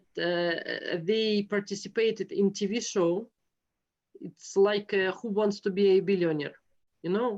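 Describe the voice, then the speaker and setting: Over a quiet background, a woman with a Russian accent speaks very slowly at medium pitch with fairly even intonation. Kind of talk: interview conversation. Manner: halting, many hesitations.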